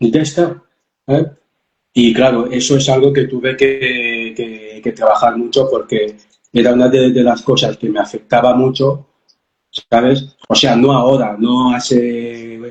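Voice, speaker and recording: A man speaks in a monotone with flat intonation. His pace is fairly slow. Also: medium pitch for a man. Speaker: life coach. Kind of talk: interview testimony. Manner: halting, repeated syllables.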